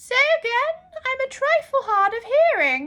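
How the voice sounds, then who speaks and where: In a put-on character voice, a woman bellows loudly and squeakily at an extremely high pitch, with very wide pitch swings and a moderate pace. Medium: read story. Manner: loud, bellowing.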